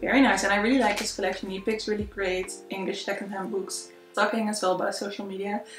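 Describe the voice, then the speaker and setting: A woman speaks very fast in a monotone, flat intonation while music plays clearly in the background. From Netherlands. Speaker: book reviewer. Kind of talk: casual conversation to camera. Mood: warm, chatty. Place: home room. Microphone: camera far.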